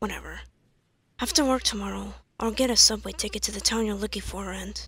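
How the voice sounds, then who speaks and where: In a very clean recording with a silent background, a woman puts on a raspy character voice at a fairly quick pace. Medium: cartoon. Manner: sarcastic, hostile.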